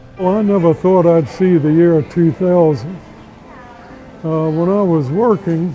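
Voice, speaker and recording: With music in the background, a man with a high pitch speaks at a fairly slow pace with ordinary pitch variation. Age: 80s+. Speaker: YMCA member. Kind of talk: interview answer. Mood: calm, reflective. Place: gym. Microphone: lapel.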